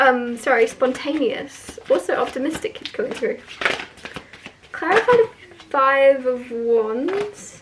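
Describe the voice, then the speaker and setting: The voice swings very widely in pitch and goes very slowly, with noticeable background noise behind it. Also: woman, high pitch for a woman. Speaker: tarot reader. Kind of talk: tarot reading monologue. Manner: casual, hesitant with fillers.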